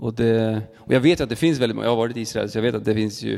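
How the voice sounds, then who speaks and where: An ordinary speaking voice with ordinary pitch variation is heard. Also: man. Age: 30s. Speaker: church podcast host. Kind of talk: interview conversation. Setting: church.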